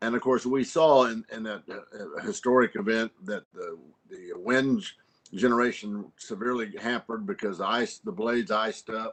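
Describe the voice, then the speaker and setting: A man with an American accent and a normal speaking voice, at a fairly quick pace with ordinary pitch variation. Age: 60s. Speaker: congressman. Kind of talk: congressional hearing questioning. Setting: virtual remote hearing.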